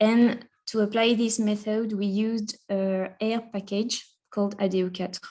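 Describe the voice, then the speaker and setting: With a French accent, a woman talks at a fairly slow pace in a fairly high pitch and a dark, mellow tone. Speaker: conference presenter, researcher. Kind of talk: academic conference presentation. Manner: hesitant, many fillers.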